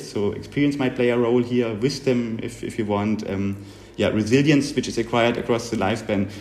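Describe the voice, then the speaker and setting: Fairly quick speech from a man at medium pitch with fairly even intonation and audible room echo. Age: 40s. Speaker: psychologist, researcher. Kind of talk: interview. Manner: halting, many fillers.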